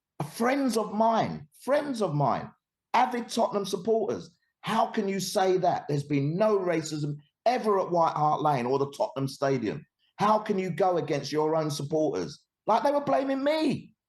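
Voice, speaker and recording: A man with a London accent talks at a moderate pace and a high pitch in an animated tone, with very wide pitch swings. His loudness is very even, and the background is quiet. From East London, England. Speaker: anti-discrimination educator. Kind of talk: podcast interview.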